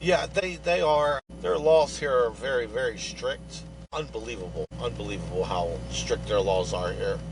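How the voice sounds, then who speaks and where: A man talks at a moderate pace. Behind him there is noticeable background noise. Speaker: activist truck owner. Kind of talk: casual interview. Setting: video call from inside his truck. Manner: loud.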